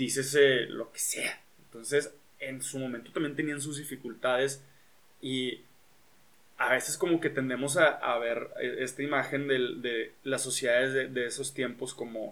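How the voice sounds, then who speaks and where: This man's medium-pitched voice moves at a fairly slow pace with monotone, flat intonation. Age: 20s. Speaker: podcast host, engineer and musician. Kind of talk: casual chat. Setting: home recording.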